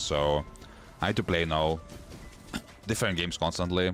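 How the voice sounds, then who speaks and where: There is music in the background as a man speaks. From Eastern Europe. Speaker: gaming streamer. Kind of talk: live gameplay commentary.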